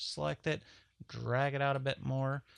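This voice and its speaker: A man mumbles against a quiet background. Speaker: 3D modeling tutorial instructor. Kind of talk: software tutorial. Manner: casual, conversational; mumbling.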